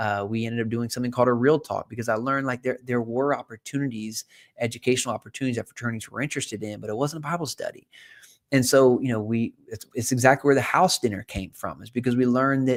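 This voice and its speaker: A man with an American accent talks very fast in a medium pitch with fairly even intonation. The recording is very clean, dry and close, with no echo and a silent background. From South Carolina. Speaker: investor and former college pastor. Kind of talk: live show monologue. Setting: live stream.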